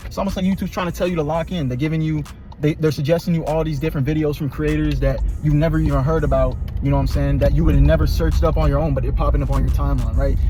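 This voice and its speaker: A man talks at a very fast pace. Music plays in the background, and the room echo is audible. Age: 20s. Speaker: youtuber giving life advice. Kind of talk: casual monologue. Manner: animated.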